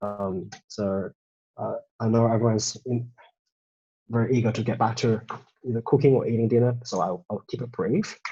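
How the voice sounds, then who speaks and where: Speaking at a moderate pace, a man with a medium pitch has a dark, mellow tone that is somewhat breathy. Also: fairly even intonation. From China, moved to Australia at 13. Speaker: data visualisation designer and studio co-founder. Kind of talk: presentation talk. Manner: halting, many fillers and restarts.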